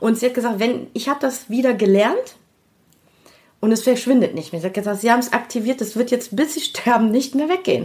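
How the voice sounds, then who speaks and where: This woman has a high-pitched voice. She talks at a fairly quick pace. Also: ordinary pitch variation. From Germany, Düsseldorf. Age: 50s. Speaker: creative producer and network founder. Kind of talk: interview. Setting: conference room in a company showroom.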